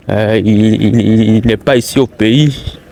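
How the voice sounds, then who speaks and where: A man talks at a medium pitch in a monotone, flat intonation. Noticeable background noise is present. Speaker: taxi driver and vlogger. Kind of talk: walking vlog commentary. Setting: outdoors, walking in streets. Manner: halting, many fillers.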